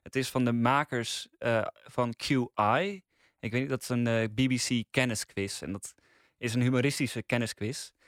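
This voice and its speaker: A man with a normal speaking voice talks at a fairly slow pace, with medium pitch and ordinary pitch variation. The sound is dry and close with no echo, and the recording is very clean with a silent background. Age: 20s. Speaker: podcast critic. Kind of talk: casual chat.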